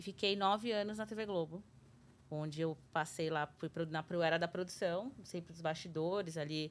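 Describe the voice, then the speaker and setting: A woman with an unremarkable speaking voice talks at a fairly low pitch, her intonation moving in the usual way. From Brazil, São Paulo city. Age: 30s. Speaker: TV journalist. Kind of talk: casual interview.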